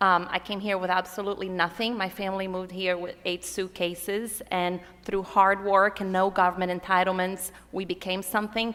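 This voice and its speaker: Her voice medium in pitch, a woman with a Portuguese accent speaks at a moderate pace. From Brazil. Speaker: political activist. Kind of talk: conference panel talk.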